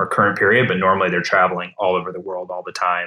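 A man's very deep, low voice with an American accent, bright and sharp in tone, flat and monotone, at a very fast pace. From US Midwest, Minnesota. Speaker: startup founder and CEO. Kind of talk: casual interview. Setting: home office, remote.

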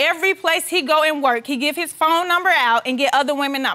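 A woman's raised, projected voice at a fairly quick pace, against noticeable background noise. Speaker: plaintiff in divorce case. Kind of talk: courtroom testimony. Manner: emotional.

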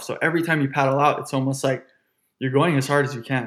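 A man speaks in a Hawaiian accent at a fairly quick pace. His pitch is fairly high. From Honolulu, Hawaii. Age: 20s. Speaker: professional surfer. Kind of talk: interview conversation.

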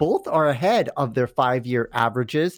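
Fairly quick and with lively intonation, a man talks in a plain, everyday voice, the sound dry and close with no echo. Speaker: gardening and tech contributor. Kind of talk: casual chat. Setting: video call.

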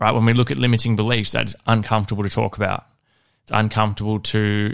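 A man's fairly low voice with an Australian accent, a fairly quick pace and monotone, flat intonation, in a very clean recording with a silent background. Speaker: fitness coach and podcast host. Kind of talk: solo podcast monologue. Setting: home studio. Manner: casual, conversational.

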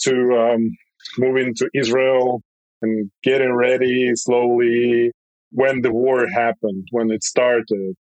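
A man with a Russian accent speaks at a very slow pace. His loudness is very even and his intonation fairly even. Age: 30s. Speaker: bike company founder. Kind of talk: interview. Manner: halting.

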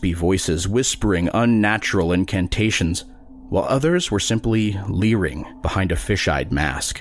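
An unforced reading voice, it carries ordinary pitch variation.

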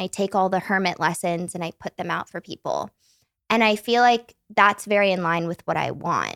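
Heard in a very clean recording with a silent background and a dry, close sound with no echo, a woman speaks at a moderate pace in an ordinary speaking voice, at a medium pitch with ordinary pitch variation. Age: 20s. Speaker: podcast guest, former podcast regular. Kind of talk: casual chat. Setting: studio in Malibu, in person.

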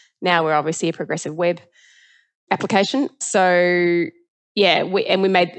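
Against a quiet background, a woman speaks at a moderate pace. Her pitch is fairly low, with ordinary variation. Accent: New Zealand. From New Zealand. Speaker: tech company CEO. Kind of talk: interview. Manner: casual.

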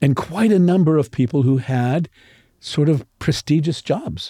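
Somewhat breathy and dark, mellow in tone, the voice moves at a fairly slow pace with lively intonation, recorded dry and close with no echo on a very clean, silent background. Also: man. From Pittsburgh. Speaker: dialect coach and retired drama professor. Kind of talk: interview. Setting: studio.

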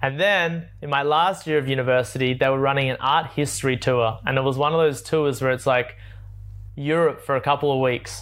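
Speaking with an Australian accent, a man talks at a medium pitch and a fairly quick pace. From Australia, Sydney. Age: 20s. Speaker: travel content creator. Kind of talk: interview. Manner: animated.

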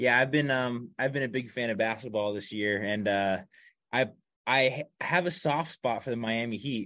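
With an ordinary speaking voice, a man talks at medium pitch and uses ordinary pitch variation. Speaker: podcast host. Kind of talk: casual interview chat. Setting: video call. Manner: casual, friendly.

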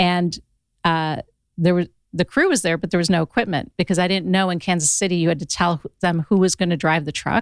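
On a very clean recording with a silent background, a woman with an unremarkable speaking voice and fairly low pitch moves at a fairly quick pace with ordinary pitch variation. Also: dry, close sound with no echo. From Ohio. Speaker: podcast company founder. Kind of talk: casual chat. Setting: studio.

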